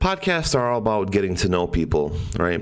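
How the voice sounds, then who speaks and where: A man speaks over noticeable background noise. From Poland. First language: Polish. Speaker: podcast host. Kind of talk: casual chat. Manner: animated.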